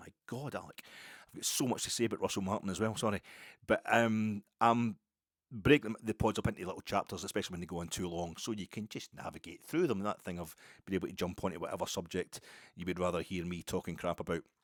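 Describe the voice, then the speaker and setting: Speaking very fast in a west coast Scottish accent, a man with a fairly low pitch and ordinary pitch variation is heard in a dry, close sound with no echo, on a very clean recording with a silent background. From Scotland, Ayrshire. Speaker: podcast host. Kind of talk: casual monologue. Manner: slurred, mumbly.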